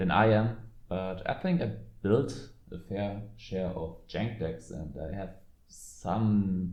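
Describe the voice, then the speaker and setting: A man's very deep, low voice with a German accent, dark and mellow in tone, very slow, with ordinary pitch variation and audible room echo. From Germany. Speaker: card game content creator. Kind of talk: casual commentary video. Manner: halting, many fillers.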